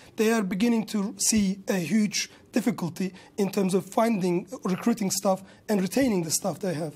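Moderate-paced speech in a Kurdish-Turkish accent, with a dark, mellow tone and fairly even intonation. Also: man, high pitch for a man. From Kurdish region of Turkey. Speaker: restaurant business owner and industry campaigner. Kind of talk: news interview. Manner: halting. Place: studio. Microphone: lapel.

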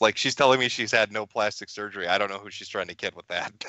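A man speaks at a very fast pace. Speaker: internet commentator guest on a livestream. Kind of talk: crude trolling banter on a livestream. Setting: remote call into a livestream. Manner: profane, mocking trash-talker.

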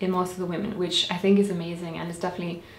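A woman is speaking. Room echo can be heard. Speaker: health vlogger. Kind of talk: tutorial. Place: home room.

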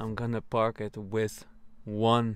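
The man's intonation is monotone and flat. The sound is dry with no echo. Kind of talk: casual vlog chat. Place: car. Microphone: phone near.

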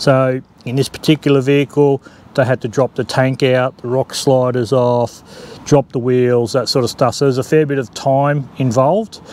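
Light background noise sits behind a man speaking in a flat monotone. The sound is dry, with no echo. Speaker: vehicle owner reviewing an upgrade. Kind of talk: casual vlog chat. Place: open country. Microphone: lapel.

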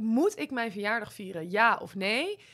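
A woman's fairly high, bright, sharp voice at a moderate pace against a quiet background. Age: 30s. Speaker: podcast co-host. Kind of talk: casual chat. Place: studio. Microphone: studio mic.

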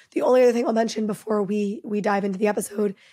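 A woman's fairly high voice with music playing behind it. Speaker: podcast host. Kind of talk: casual intro monologue. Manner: quick.

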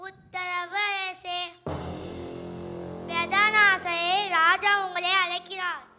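A put-on character voice speaks at an extremely high pitch and a very slow pace with monotone, flat intonation. Faint music sits in the background. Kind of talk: church nativity play acting. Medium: stage play. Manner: formal, deferential.

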